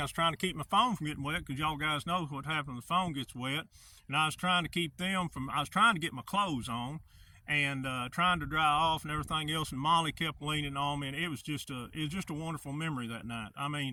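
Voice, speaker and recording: A man with an Arkansas accent at a fairly high pitch and a very fast pace. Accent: Southern US (Arkansas). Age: 60s. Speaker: hunter, outdoor vlogger. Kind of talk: casual vlog monologue.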